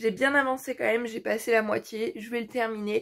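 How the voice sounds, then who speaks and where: The woman's pitch varies in an ordinary way, captured in a very clean recording with a silent background. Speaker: book vlogger. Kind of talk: casual vlog chat.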